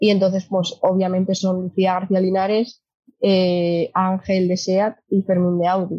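The voice is somewhat breathy, with monotone, flat intonation and very even loudness. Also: woman, medium pitch for a woman. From Asturias, Spain. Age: 20s. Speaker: sustainable mobility company employee, former kart racer. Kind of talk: casual interview.

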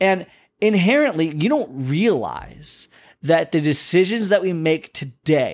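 On a very clean recording with a silent background, a man speaks at a fairly slow pace in an animated tone with ordinary pitch variation. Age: 30s. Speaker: podcast host, health coach. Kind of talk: motivational monologue.

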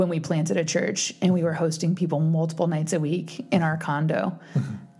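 A woman with a fairly low pitch speaks amid noticeable background noise and audible room echo. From East Texas. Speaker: podcast co-host. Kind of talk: casual chat.

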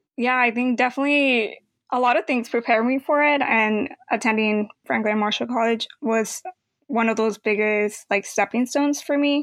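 Speaking at a moderate pace with ordinary pitch variation and very even loudness, an unremarkable speaking voice sounds dry and close with no echo. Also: woman, fairly high pitch for a woman. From Mexico, raised in Los Angeles from age eight. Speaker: college graduate, former exchange student. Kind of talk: interview.

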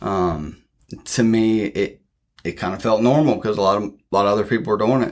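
A fairly quick man's voice with a Midwestern US accent, fairly low in pitch, with ordinary pitch variation. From Ohio, near Columbus. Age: 30s. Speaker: addiction recovery leader. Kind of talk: interview testimony. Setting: organization office. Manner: hesitant, many fillers.

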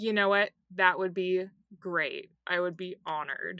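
Putting on a character voice, a woman sounds strained at a medium pitch, keeping a moderate pace and fairly even intonation. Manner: strained, polite through gritted teeth.

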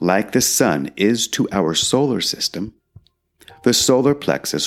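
A man speaks in a gentle, calm tone, his pitch swinging very widely. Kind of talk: guided meditation. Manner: slow, calm, soothing pacing with long pauses; gentle, instructive, counting aloud evenly.

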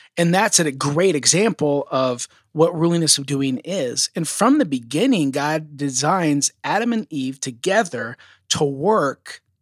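Recorded very cleanly with a silent background and a dry, close sound with no echo, a man with an ordinary speaking voice talks at a fairly slow pace, fairly high in pitch, with lively intonation. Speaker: podcast host. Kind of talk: casual chat.

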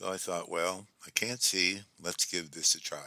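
A man's bright, sharp-toned voice at a fairly slow pace. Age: 70s. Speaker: podcast host and author. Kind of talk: personal monologue.

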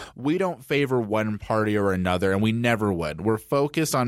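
With an American accent, a man uses an ordinary speaking voice at a fairly quick pace with lively intonation. The recording is very clean, with a silent background. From Denver, Colorado. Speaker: government affairs director at a children's advocacy group. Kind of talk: casual interview about policy.

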